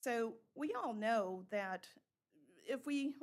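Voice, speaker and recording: Having an unremarkable speaking voice, a woman talks at a fairly high pitch with ordinary pitch variation. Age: 60s. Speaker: member of the public making a comment. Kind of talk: public comment. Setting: town council meeting.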